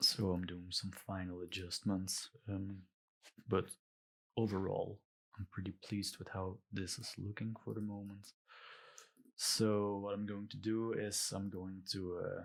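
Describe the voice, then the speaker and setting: A man's fairly low voice with a Belgian accent, fairly slow and monotone, flat in intonation, broken by long, frequent pauses. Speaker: illustrator. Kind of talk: tutorial. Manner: hesitant, many fillers.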